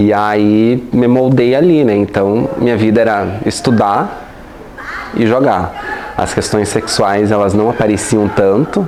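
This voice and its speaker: Very slowly and at a very even loudness, a man speaks at a fairly low pitch with ordinary pitch variation, amid audible room echo and noticeable background noise. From Brazil, Paraná (União da Vitória). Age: 20s. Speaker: LGBT activist and university staff member. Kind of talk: interview. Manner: halting, many fillers.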